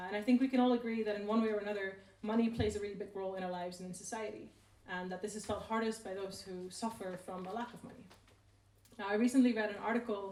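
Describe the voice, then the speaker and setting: A woman with a non-native accent speaks very fast at medium pitch in a monotone, flat intonation, with big swings in loudness. Noticeable background noise and audible room echo are present. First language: not English. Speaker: researcher on inequality. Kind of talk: talk at a public event. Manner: casual, hesitant with fillers.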